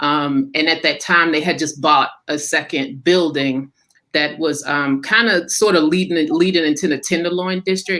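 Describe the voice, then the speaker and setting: In an American accent, the speaker uses a bright, sharp tone with ordinary pitch variation at a moderate pace. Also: woman. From US Midwest, Kansas City. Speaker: playwright. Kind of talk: panel discussion. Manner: halting.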